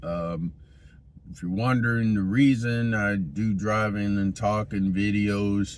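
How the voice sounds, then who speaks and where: A man talks at a very slow pace in a fairly low pitch. His intonation stays fairly even. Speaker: train hobby vlogger. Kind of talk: casual vlog while driving. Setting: in a car. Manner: hesitant, many fillers.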